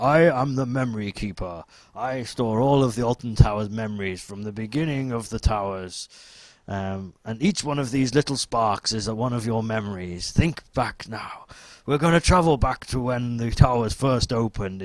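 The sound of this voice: Using a put-on character voice, a man sounds booming at medium pitch, with ordinary pitch variation and a moderate pace.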